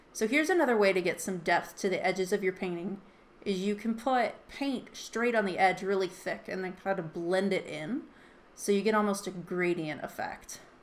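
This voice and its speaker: A woman has an ordinary speaking voice at a medium pitch. She speaks at a moderate pace with ordinary pitch variation. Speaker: artist and art teacher. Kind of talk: tutorial.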